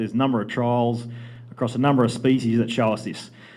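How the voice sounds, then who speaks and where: A man's very fast speech in an Australian accent, with audible room echo. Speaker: livestock genetics presenter. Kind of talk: conference presentation.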